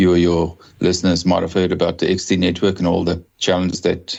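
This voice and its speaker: A man speaks in a South African accent. His pitch is very deep and low. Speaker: telecom executive. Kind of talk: podcast interview.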